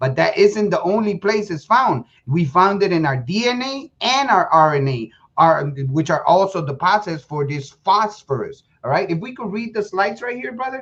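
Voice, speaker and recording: The speaker talks with a Spanish accent. Delivery comes at a moderate pace. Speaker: presenter of a lecture. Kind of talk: lecture. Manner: halting, many repeated words.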